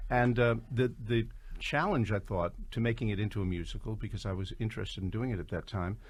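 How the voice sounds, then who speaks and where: Somewhat breathy, a man with an American accent speaks at a medium pitch and a fairly quick pace. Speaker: composer and writer of the musical. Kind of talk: radio interview.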